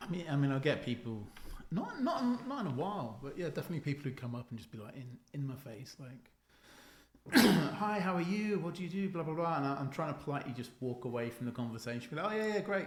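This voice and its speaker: Through noticeable background noise and audible room echo, a man with a British accent talks at a very fast pace with fairly high pitch and very wide pitch swings. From UK. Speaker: expat university teacher. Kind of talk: casual podcast chat.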